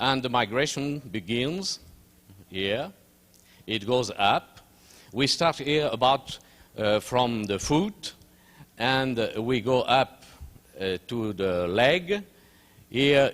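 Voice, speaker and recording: A man in a French accent speaks at medium pitch with lively intonation, very slowly and with long, frequent pauses. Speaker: physician and researcher. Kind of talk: lecture. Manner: halting.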